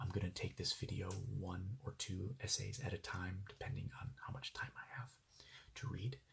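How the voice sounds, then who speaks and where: Soft-spoken and fairly low in pitch, a man talks at a fairly slow pace. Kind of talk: casual talk to camera.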